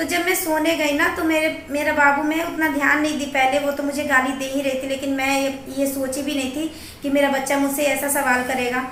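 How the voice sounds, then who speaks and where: A high-pitched woman's voice, monotone and flat, at a moderate pace over noticeable background noise. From Bihar, India. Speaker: vlogger. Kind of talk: casual talk to camera.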